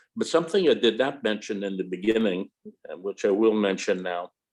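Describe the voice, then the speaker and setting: Moderate pace and ordinary pitch variation. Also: man. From Chicago, US. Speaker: colloquium host. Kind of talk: moderated Q&A.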